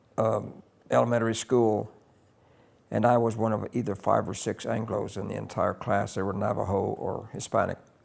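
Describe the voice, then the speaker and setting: With an American accent, a man speaks at a fairly low pitch with vocal fry. His intonation is monotone and flat. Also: moderate pace, very clean recording, silent background. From US Midwest (Kansas, Oklahoma, New Mexico). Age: 80s+. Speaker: veteran broadcaster. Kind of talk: interview, life story recollection.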